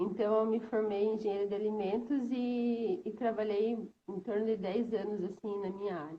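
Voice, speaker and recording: A woman talks at a fairly high pitch in a somewhat breathy voice. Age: 30s. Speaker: stay-at-home mother, former food engineer. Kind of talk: testimony in live stream. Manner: hesitant, many fillers.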